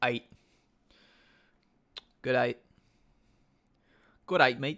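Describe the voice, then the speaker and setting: A man puts on a raspy character voice with an Australian accent as part of the act. His pitch is medium. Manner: casual, friendly.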